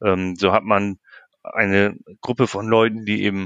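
A man speaks over a quiet background. The sound is dry and close, with no echo. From northern Germany, Lower Saxony. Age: 40s. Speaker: sports club chairman. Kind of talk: interview. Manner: hesitant, many filler sounds.

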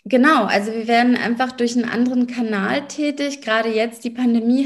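Moderate pace from a woman at high pitch, monotone, flat intonation, and noticeable background noise. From Berlin, Germany. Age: 30s. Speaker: lawyer and business coach. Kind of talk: interview.

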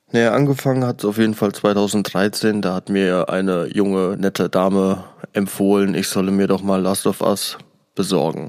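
A man speaks at a moderate pace with fairly even intonation and a fairly low pitch. It is an unremarkable speaking voice. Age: 20s. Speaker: podcast host. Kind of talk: solo review podcast.

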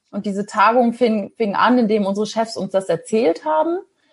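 A somewhat breathy woman talks at a moderate pace. Her pitch varies in an ordinary way. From northern Germany, Ostholstein. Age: 40s. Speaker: former pharma sales rep turned traveller and podcaster. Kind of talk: interview.

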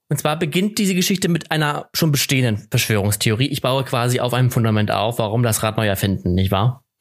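In a very clean recording with a silent background, a man at medium pitch talks very fast with lively intonation, hardly any pauses and very even loudness. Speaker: podcast co-host. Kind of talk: casual chat.

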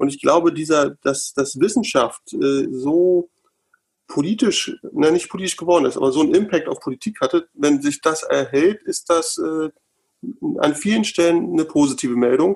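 A normal speaking voice holds a moderate pace, its pitch varying in an ordinary way. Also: man, fairly high pitch for a man. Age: 40s. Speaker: member of parliament, lawyer. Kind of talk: casual panel discussion. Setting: video call from home.

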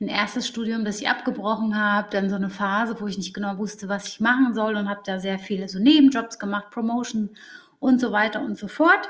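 Fairly even intonation and a fairly quick pace mark an unremarkable speaking voice. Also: woman. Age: 30s. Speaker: psychologist working in HR. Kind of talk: interview.

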